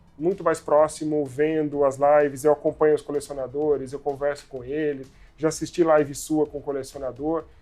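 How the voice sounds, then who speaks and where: A man's voice sits fairly high in pitch while music plays behind him. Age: 30s. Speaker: toy company executive. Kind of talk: casual interview. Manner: hesitant, many fillers.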